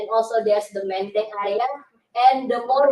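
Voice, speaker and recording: A woman speaks in a fairly high pitch. Audible room echo surrounds her voice. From Indonesia. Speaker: master's student presenting research. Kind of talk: conference presentation.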